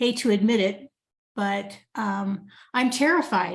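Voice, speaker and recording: Very slowly and somewhat breathily, a woman speaks at a fairly high pitch in a very clean recording with a silent background. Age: 70s. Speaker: coaching group participant. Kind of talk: casual chat. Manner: halting.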